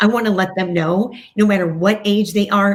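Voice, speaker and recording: A woman with a medium-pitched, somewhat breathy voice talks at a moderate pace. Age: 60s. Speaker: TV host and breast cancer survivor. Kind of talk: podcast interview. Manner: animated.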